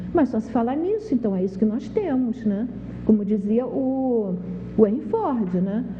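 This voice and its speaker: With noticeable background noise behind her, a woman with a fairly high pitch speaks at a fairly slow pace. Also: ordinary pitch variation. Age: 60s. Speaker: TV health show host. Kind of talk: TV talk monologue.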